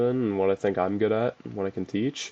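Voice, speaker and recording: A man's fairly low, dark, mellow voice with monotone, flat intonation. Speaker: youtuber giving advice. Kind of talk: casual vlog advice talk. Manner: casual, with filler words.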